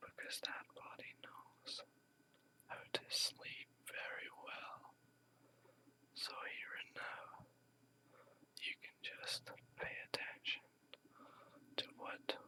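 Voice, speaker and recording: Whispering at a very slow pace in a soothing tone, the voice leaves long, frequent pauses. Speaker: ASMR whisper meditation guide. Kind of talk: guided meditation / sleep hypnosis script. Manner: whispered, slow, soothing.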